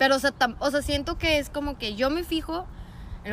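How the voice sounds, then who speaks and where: A woman talks at a fairly quick pace. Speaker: podcast guest. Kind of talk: casual chat.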